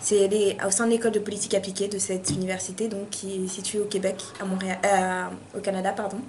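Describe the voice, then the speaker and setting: Noticeable background noise and audible room echo surround a woman speaking in a monotone, flat intonation. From France, Paris suburbs, Malian heritage. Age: 20s. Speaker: university student. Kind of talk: interview. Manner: hesitant, many fillers.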